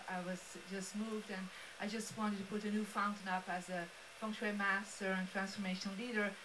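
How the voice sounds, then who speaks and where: Audible room echo and noticeable background noise surround the speaker. A woman talks at a fairly quick pace and medium pitch. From Belgium. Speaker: feng shui master and speaker. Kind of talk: motivational presentation. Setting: live-streamed studio event with audience. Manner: animated.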